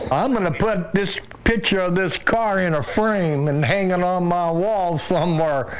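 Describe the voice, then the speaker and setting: Over noticeable background noise and audible room echo, a man talks at a moderate pace with a high pitch, ordinary pitch variation and very even loudness. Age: 70s. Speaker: Vietnam veteran. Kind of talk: casual chat.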